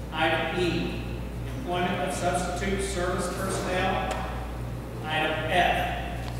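Very slow speech from a man comes through strong room echo and noticeable background noise. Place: hall. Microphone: camera far.

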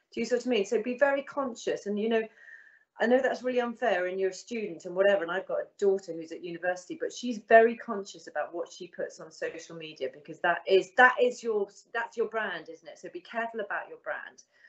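A woman talks at a fast pace. Her pitch is medium, with ordinary variation.

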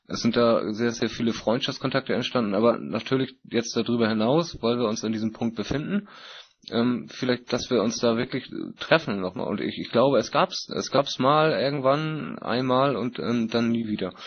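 Here is an ordinary speaking voice with ordinary pitch variation. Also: man, medium pitch for a man, moderate pace. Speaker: meeting moderator. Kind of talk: moderated group discussion. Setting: online voice chat conference.

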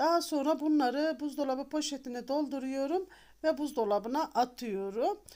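Her voice is high-pitched with a dark, mellow tone and ordinary pitch variation, and this woman is captured on a very clean recording with a silent background. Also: moderate pace. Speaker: cooking channel host. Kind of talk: cooking tutorial.

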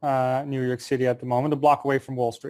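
The background stays quiet as a man speaks. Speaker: remote interview guest. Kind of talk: interview answer. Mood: relaxed, laughing. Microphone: earbuds.

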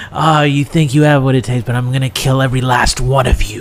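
A man's put-on character voice at a medium pitch and a very fast pace, with clear background noise. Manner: menacing, threatening.

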